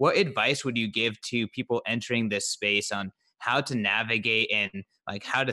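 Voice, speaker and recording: The voice has a bright, sharp tone and fairly even intonation, moving at a fairly quick pace in a dry, close sound with no echo. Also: man. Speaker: podcast co-host. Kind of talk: casual podcast interview.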